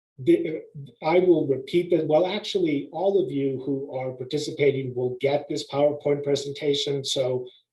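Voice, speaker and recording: A man speaks in a fairly high, somewhat breathy voice with a dark, mellow tone. His intonation stays fairly even at a moderate pace. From US, Mexican immigrant family community. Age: 60s. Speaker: behavioral health panelist. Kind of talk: webinar presentation. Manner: hesitant, many fillers.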